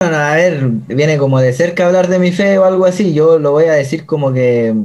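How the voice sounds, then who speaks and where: A man with a Chilean accent speaks at a moderate pace in a dark, mellow tone. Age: 20s. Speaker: missionary. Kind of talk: testimony.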